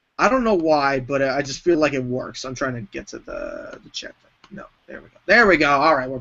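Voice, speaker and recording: With an American accent, a man talks at a fairly quick pace and fairly high pitch, his intonation lively and his loudness swinging widely. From New York. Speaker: wrestling entertainer. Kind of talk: casual chat.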